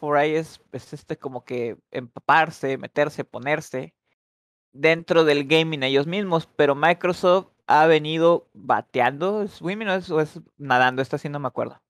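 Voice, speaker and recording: A man speaks in an ordinary speaking voice with a fairly high pitch and ordinary pitch variation. His pace is fairly slow, and the sound is dry and close with no echo. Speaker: English teacher. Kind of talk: online language class. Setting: voice chat on Discord. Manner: switches between English and Spanish.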